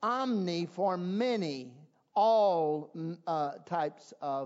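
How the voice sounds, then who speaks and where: Very slow, lively speech from a high-pitched man with a Southern US accent. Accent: Southern American. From US South, South Carolina. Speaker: pastor. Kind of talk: sermon. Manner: halting.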